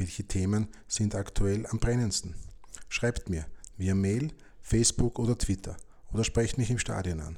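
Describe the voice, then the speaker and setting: This is a man with a fairly low, somewhat breathy voice, speaking at a moderate pace. The recording is very clean, with a silent background. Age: 50s. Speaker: podcast host and football fan. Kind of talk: scripted podcast introduction.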